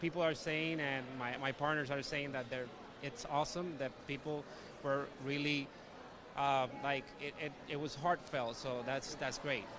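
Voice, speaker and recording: A man with a Spanish accent, fairly high in pitch, at a fairly slow pace with fairly even intonation. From Puerto Rico. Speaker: actor. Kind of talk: red carpet interview.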